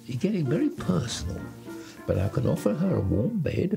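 Clear music plays behind a man speaking at a moderate pace. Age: 80s+. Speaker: dating show participant. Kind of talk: reality TV interview and date conversation. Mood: playful, cheeky. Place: studio.

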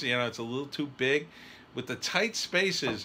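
A man's bright, sharp tone comes through over light background noise. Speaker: writer reviewing a trailer. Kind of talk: casual reaction commentary. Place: home room. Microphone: phone near.

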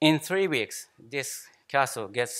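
A man talks with a Japanese accent. The background is quiet. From Japan, Shimane. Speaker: anesthesiologist, professor. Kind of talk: conference lecture. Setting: conference hall with audience. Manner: halting, many fillers and repetitions. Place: hall.

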